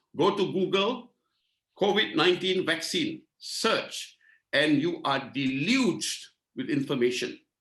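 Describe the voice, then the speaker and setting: This man speaks at a fairly slow pace with a high pitch and very wide pitch swings. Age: 60s. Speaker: talk show host, lawyer. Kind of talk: panel discussion introduction.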